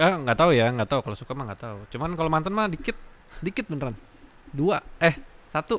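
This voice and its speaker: With very wide pitch swings, a man talks very fast in a fairly high pitch. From West Java, Indonesia. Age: 30s. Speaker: aesthetic doctor; guest. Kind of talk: casual chat. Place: studio. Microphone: studio mic.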